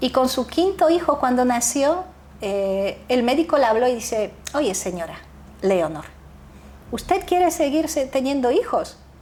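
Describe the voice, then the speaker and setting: With a high pitch and very wide pitch swings, a woman talks at a fairly slow pace, leaving long, frequent pauses. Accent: Polish. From Poland, then Netherlands. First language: Polish (speaking Spanish). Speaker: founder of a youth nonprofit. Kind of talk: interview conversation. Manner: halting, with self-corrections.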